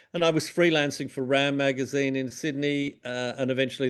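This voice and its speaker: Here a man with an Australian accent talks at a fairly quick pace. His pitch is fairly high. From Tasmania, Australia (Launceston). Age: 60s. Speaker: music journalist. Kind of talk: interview. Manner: halting, many fillers and repeats.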